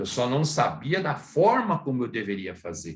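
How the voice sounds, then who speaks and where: Vocal fry runs through a man's medium-pitched voice at a moderate pace. His pitch swings very widely. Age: 60s. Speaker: dentist. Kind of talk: lecture.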